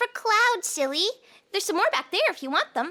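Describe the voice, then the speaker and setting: A squeaky, female-sounding put-on character voice at an extremely high pitch, with very wide pitch swings and a fairly quick pace. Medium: audio drama.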